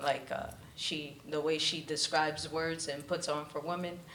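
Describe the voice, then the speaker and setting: A woman speaks with a very deep, low pitch. There is noticeable background noise and audible room echo. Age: 30s. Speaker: spoken word poet. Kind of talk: interview; poetry performance. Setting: stage with audience.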